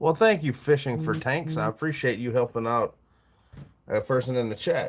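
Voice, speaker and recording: Fairly high in pitch, a man speaks at a moderate pace. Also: ordinary pitch variation. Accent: Southern US. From US South. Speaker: livestreamer, fishing lure maker. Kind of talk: casual live stream chat.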